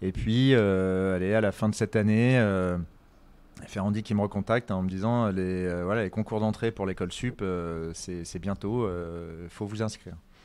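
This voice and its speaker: At a fairly slow pace, a man speaks in a fairly low voice. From Paris, France. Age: 40s. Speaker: chef and restaurateur. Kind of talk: interview. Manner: halting, many fillers.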